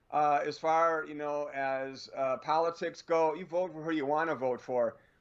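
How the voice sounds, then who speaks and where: An ordinary speaking voice from a man, rather high for him, delivered at an average speed. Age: 60s. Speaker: radio show guest, former Air Force and tech worker. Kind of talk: casual radio interview.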